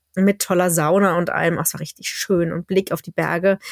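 There is noticeable background noise around a woman whose voice has a dry, close sound with no echo. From Berlin, Germany. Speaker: teacher and podcast host. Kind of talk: casual chat.

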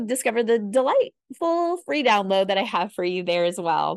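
A woman speaks at a moderate pace in a fairly high voice with an enthusiastic tone. Her pitch swings very widely, and the sound is dry and close with no echo. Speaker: podcast host, screenwriting teacher. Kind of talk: podcast monologue.

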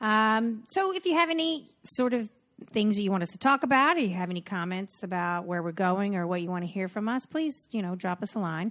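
Lively intonation marks a woman speaking with a Southern US accent. Her pitch is medium and her pace fairly quick. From North Carolina. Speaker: podcast host, costume designer. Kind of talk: casual chat, podcast intro.

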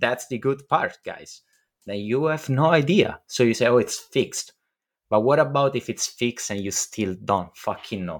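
A man speaks at a medium pitch and a moderate pace. His intonation is lively. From Italy. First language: Italian. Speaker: podcast host. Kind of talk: casual chat with profanity. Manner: casual, profane, excitable.

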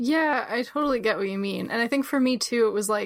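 A woman with an American accent, an unremarkable speaking voice and a fairly quick pace. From New Jersey. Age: 30s. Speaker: book editor and writer. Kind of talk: interview.

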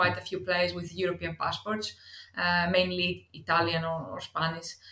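A woman speaks with a Greek accent at a moderate pace. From Greece. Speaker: football club talent scout. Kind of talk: interview.

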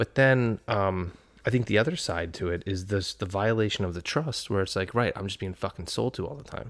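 A plain, everyday voice from a man, fairly low in pitch with ordinary pitch variation, at a fairly quick pace, on a very clean recording with a silent background. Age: 30s. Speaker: podcast co-host. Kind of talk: casual chat.

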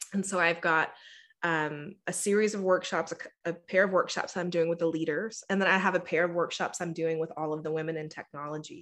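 Talking at a fairly quick pace, a woman with a fairly low pitch uses an ordinary speaking voice and fairly even intonation. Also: quiet background. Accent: American. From Texas. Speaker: engineer turned diversity and inclusion speaker. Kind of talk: interview conversation.

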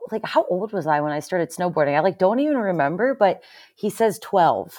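Talking at a very fast pace, a woman with an American accent swings her pitch very widely. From Pennsylvania. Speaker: former pro snowboarder, brain injury survivor. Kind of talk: interview.

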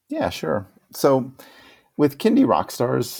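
A man speaks at a fairly slow pace in a dark, mellow tone. The recording is very clean, with a silent background. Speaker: children's musician and podcaster. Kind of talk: interview. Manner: halting.

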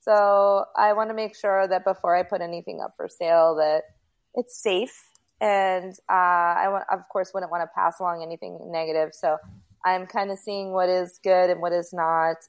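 A woman with an ordinary speaking voice talks at a moderate pace and medium pitch with fairly even intonation, on a very clean recording with a silent background. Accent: American. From US Northeast, Rockland County, New York. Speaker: paranormal investigator. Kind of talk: casual chat.

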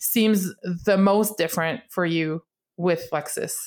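A woman with a Quebec accent speaks at a medium pitch with ordinary pitch variation. The recording is very clean, with a silent background. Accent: Québécois French accent in English. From Quebec, Canada. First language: French. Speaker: podcast host, color guard instructor. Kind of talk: casual interview.

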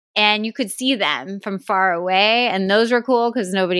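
A loud woman's voice with a bright, sharp tone, dry and close with no echo, on a very clean recording with a silent background. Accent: American. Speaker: podcast co-host. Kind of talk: casual chat. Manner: laughs a lot, loud laugh.

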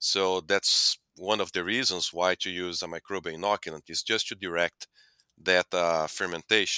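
In a very clean recording with a silent background, a man's very deep, low voice has a bright, sharp tone and fairly even intonation in a dry, close sound with no echo. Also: moderate pace. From Brazil. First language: Portuguese. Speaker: animal nutrition scientist. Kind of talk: interview.

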